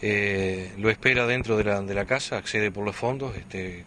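A man reads at a fairly slow pace in a fairly low pitch with ordinary pitch variation. The sound is dry with no echo, and there is light background noise. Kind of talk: interview answer. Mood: calm, factual. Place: street. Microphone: handheld.

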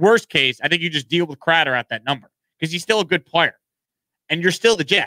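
The man's tone is bright and sharp, with ordinary pitch variation. The sound is dry with no echo over a quiet background. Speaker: sports show host. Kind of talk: sports commentary. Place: studio. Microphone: studio mic.

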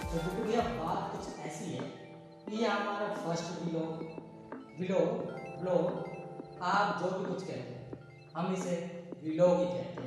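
A man speaks at a very slow pace with long, frequent pauses and ordinary pitch variation. Clear music plays in the background, and the room echo is strong. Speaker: vlogger; mechanical engineering graduate. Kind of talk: casual talk to camera. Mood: playful, humorous. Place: home room.

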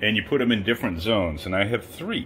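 A man at a fairly low pitch, with faint music in the background. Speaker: diet vlogger. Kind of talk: casual vlog chat. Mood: puzzled, lightly amused. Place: home room. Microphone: phone near.

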